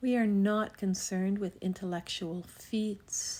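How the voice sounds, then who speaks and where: A woman's medium-pitched, monotone, flat voice with a gentle, calm tone and a dark, mellow tone, in a very clean recording with a silent background. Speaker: spiritual text reader. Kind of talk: meditative spiritual reading.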